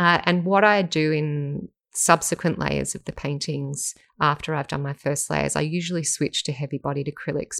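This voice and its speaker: A moderate pace with an Australian accent, in a very clean recording with a silent background and a dry, close sound with no echo. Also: woman. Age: 40s. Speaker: professional artist and podcast host. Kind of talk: casual interview chat.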